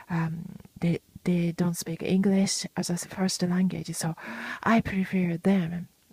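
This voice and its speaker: A very slow pace in a Japanese accent. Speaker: podcaster. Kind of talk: casual monologue. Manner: halting, many fillers and restarts.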